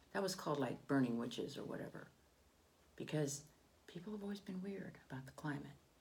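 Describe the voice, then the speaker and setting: In a room with audible echo, a woman with a very deep, low pitch and vocal fry talks at a very fast pace, lively in intonation, with long, frequent pauses. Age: 60s. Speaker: political commentator. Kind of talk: opinion monologue. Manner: halting.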